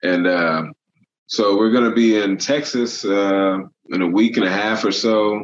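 A man with an American accent speaks at a fairly slow pace in an ordinary speaking voice, his fairly low pitch showing ordinary variation and his loudness staying very even. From Illinois, US Midwest. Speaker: movie location hunter and photographer. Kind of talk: casual chat.

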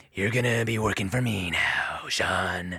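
A man talks at a moderate pace in a raspy, put-on character voice with a medium pitch. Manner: hammy, menacing.

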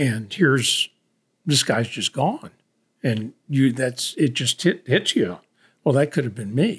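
Somewhat breathy and medium in pitch, a man speaks at a fairly slow pace with lively intonation and long, frequent pauses. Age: 70s. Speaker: podcast co-host, father. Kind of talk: casual chat.

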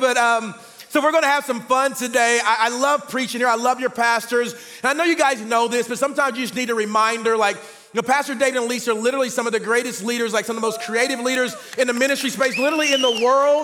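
Music plays in the background as a man with an American accent talks at a very fast pace. His voice is raised and projected at an extremely high pitch. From Oklahoma City. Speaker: guest preacher. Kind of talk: casual, energetic sermon. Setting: church stage. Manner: fast talker.

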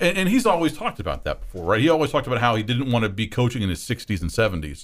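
A man with a medium-pitched voice and vocal fry talks at a very fast pace with hardly any pauses. His pitch swings very widely. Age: 30s. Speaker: sports radio host. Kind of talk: casual sports talk radio. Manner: hesitant fillers.

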